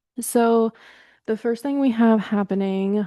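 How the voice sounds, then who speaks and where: A woman with a dark, mellow tone speaks with fairly even intonation in a dry, close sound with no echo over a quiet background. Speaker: astrology podcaster. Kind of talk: casual astrology forecast. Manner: heavy breathing.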